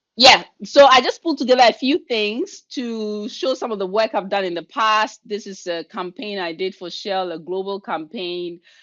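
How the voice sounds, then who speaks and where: With a Ghanaian accent and a fairly high pitch, a woman talks at a moderate pace with lively intonation, big swings in loudness and hardly any pauses. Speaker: leadership coach and keynote speaker. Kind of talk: webinar presentation. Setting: video call.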